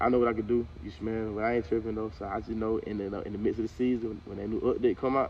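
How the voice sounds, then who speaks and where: In a Southern US accent, a man talks very fast with hardly any pauses, at medium pitch with fairly even intonation. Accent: Southern country speech. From US South, central Georgia. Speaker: college football player. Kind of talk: casual interview. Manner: casual, halting with many repetitions.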